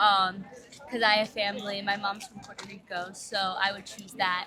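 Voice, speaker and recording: A woman speaks at a moderate pace with an American accent. Noticeable background noise runs beneath her voice. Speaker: tourist. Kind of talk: street interview.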